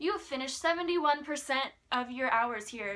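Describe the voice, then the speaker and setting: A woman's put-on character voice, high-pitched, with lively intonation at a moderate pace. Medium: solo performance. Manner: dismissive.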